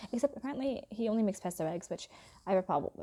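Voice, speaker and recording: A woman talks at a very fast pace in a dark, mellow tone. The recording is very clean, with a silent background. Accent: slight British. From England and Philadelphia area. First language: Hindi. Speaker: YouTuber. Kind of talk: casual vlog chat. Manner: relaxed.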